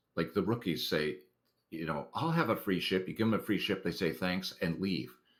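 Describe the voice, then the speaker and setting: Vocal fry marks this man's very deep, low voice in a very clean recording with a silent background. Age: 60s. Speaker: online game community volunteer and blogger. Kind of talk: interview. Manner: casual, conversational with fillers.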